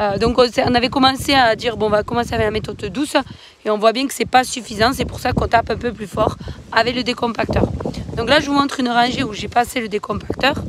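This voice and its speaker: Against noticeable background noise, someone talks at a very fast pace with fairly even intonation. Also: woman, high pitch for a woman. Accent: southern French. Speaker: organic winegrower. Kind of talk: explanatory farm vlog. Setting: outdoors in a vineyard. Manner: hesitant, many filler sounds.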